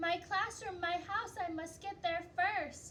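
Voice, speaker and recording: Squeaky and extremely high-pitched, a woman's put-on character voice moves at a fairly slow pace with fairly even intonation over clear background noise. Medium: read story.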